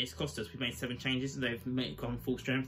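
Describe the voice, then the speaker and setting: A man is talking. There is light background noise behind him. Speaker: fan channel host. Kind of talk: angry post-match rant. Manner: fired-up, swearing, exasperated; blunt, rapid-fire verdicts. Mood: deflated, disappointed. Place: home room. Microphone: webcam.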